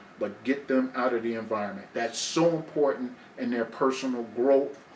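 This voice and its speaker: A medium-pitched man keeps a moderate pace and fairly even intonation while noticeable background noise plays underneath. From New Jersey, Newark. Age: 60s. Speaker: guest sharing life story. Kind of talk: casual interview conversation.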